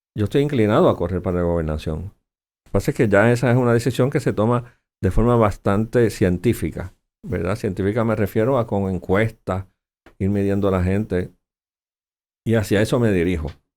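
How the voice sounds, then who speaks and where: A fairly low male voice at a fairly quick pace, with ordinary pitch variation. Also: very clean recording, silent background. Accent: Puerto Rican. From Puerto Rico. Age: 60s. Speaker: senator, politician. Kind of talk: interview.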